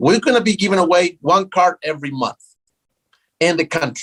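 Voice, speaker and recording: A man's animated, high-pitched voice in a South American Spanish accent, with lively intonation. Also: dry, close sound with no echo. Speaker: tech startup founder. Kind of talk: interview.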